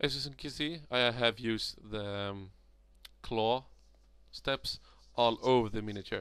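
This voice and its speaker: Speaking with a Swedish accent, a man uses a medium pitch and fairly even intonation, with long, frequent pauses. The recording is very clean, with a silent background. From Sweden. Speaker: miniature hobbyist. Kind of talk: tutorial. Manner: halting.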